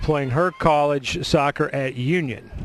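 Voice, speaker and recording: With a Middle Tennessee accent, a man speaks at a fairly high pitch against noticeable background noise. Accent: Middle Tennessee twang. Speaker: play-by-play sports announcer. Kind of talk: live sports commentary.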